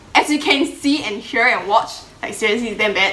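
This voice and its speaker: A woman is speaking. The room echo is audible and background noise is noticeable. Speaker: YouTuber and model. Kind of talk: casual chat.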